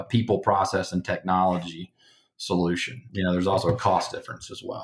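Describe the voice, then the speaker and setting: A man's fairly low voice with an American accent, fairly even intonation and a moderate pace, on a very clean recording with a silent background. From Alabama, US South. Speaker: company executive. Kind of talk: interview conversation.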